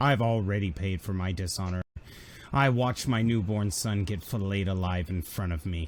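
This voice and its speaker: Using a put-on character voice that sounds shaky, a man speaks at a moderate pace with a fairly low pitch. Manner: snarky.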